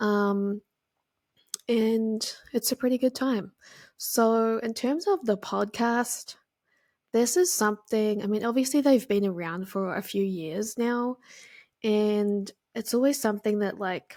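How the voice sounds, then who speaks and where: In a New Zealand accent, a woman speaks at a fairly high pitch and a fairly slow pace, with ordinary pitch variation and long, frequent pauses, on a very clean recording with a silent background. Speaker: podcast host, graphic designer. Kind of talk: casual solo podcast talk. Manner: casual, filler-heavy.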